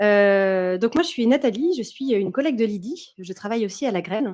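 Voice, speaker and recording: Fairly high pitch from a woman, with ordinary variation in it. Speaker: conference speaker, consultant and former doctor. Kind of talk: conference talk. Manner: fast.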